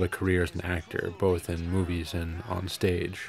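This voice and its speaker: The man's pitch is very deep and low. Noticeable background noise is heard as he talks. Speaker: filmmaker. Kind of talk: film commentary. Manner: casual, humorous.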